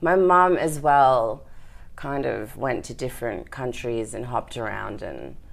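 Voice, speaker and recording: With vocal fry and big swings in loudness, a woman speaks in a very deep, low voice with lively intonation. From Australia. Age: 30s. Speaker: entrepreneur in events and content production. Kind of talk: casual interview.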